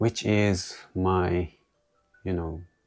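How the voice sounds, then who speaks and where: A man's very deep, low voice at a very slow pace with monotone, flat intonation, music in the background. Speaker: English learner vlogger. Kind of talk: solo monologue retelling a movie. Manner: halting, with self-corrections.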